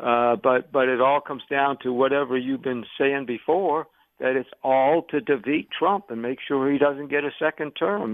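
Here is a man with an unremarkable speaking voice at medium pitch. He keeps a moderate pace with ordinary pitch variation. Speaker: caller. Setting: phone call.

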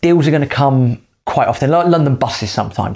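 This man has a plain, everyday voice at a medium pitch. His intonation is lively, and the recording is very clean with a silent background. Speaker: podcast host, property investor. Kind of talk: casual co-hosted advice chat.

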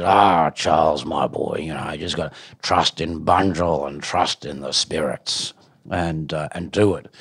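In a put-on character voice, a man speaks at a fairly slow pace with a very deep, low pitch, a gravelly, raspy sound, fairly even intonation and big swings in loudness. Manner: encouraging, earnest.

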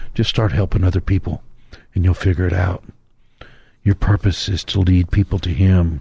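The voice is somewhat breathy with a dark, mellow tone and moves at a fairly quick pace. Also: man. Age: 60s. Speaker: pastor. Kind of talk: radio sermon.

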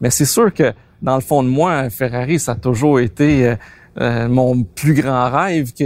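Recorded very cleanly against a silent background, a man speaks in a Quebec accent. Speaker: car collector. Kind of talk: interview.

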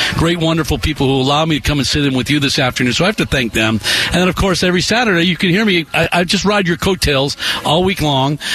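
A man with a fairly high pitch talks at a very fast pace with lively intonation and very even loudness. Noticeable background noise runs underneath. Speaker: sports broadcaster. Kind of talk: sports talk radio. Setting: radio studio.

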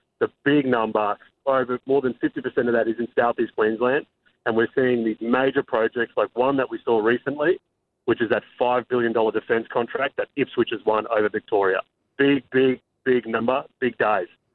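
A man's medium-pitched voice in an Australian accent, at a moderate pace. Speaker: real estate expert. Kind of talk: interview. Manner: excitable.

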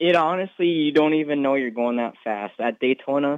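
A man talks at a fairly quick pace with ordinary pitch variation. It is an ordinary speaking voice. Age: young. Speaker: race car driver. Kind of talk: interview.

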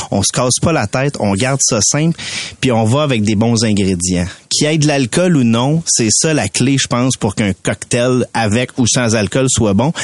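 A man's medium-pitched voice at a moderate pace, with ordinary pitch variation, very even loudness, a dry, close sound with no echo, and noticeable background noise. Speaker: mixologist. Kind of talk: tutorial.

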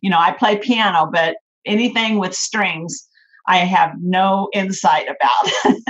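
A somewhat breathy woman of medium pitch speaks in an American accent. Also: ordinary pitch variation, fairly slow pace. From California. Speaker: founder of an online Bible college. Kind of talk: interview.

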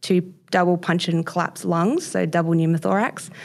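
A woman with an Australian accent, at a fairly low pitch and a moderate pace. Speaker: BMX and mountain bike athlete. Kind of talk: interview.

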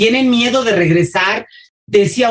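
Very wide pitch swings in a woman's somewhat breathy voice. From Mexico City. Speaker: school supervisor and teacher. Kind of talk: interview.

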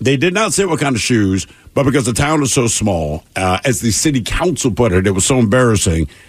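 Fairly quick delivery, somewhat breathy, with very wide pitch swings. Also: man, medium pitch for a man. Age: 50s. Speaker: radio show co-host. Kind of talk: news reading; casual chat.

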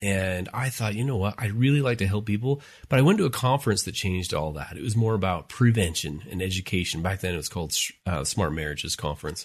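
Very fast, somewhat breathy speech from a man with an American accent, fairly low pitch, lively intonation, hardly any pauses, and a quiet background. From Utah, US. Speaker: family life professor, podcast host. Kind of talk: casual chat.

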